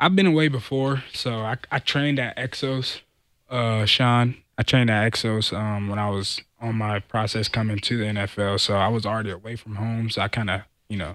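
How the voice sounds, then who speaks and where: Here is a plain, everyday voice, a man at medium pitch with an American accent. He keeps a moderate pace and fairly even intonation on a very clean recording with a silent background. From Southern California. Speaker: football player. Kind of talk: casual chat.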